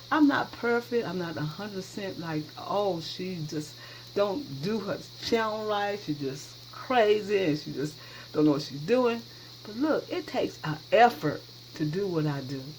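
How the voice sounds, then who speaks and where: A woman at a moderate pace and medium pitch, with big swings in loudness, very wide pitch swings, and noticeable background noise. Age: 60s. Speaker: cooking channel host. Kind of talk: cooking tutorial. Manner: casual, chatty.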